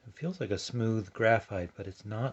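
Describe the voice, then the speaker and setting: A man talks in a soft-spoken, somewhat breathy way. The background is quiet. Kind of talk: ASMR product review. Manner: quiet, soft-spoken.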